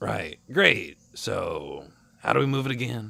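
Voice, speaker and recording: A man puts on a character voice that is raspy. He speaks at a fairly slow pace. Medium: read story. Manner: brash, crude.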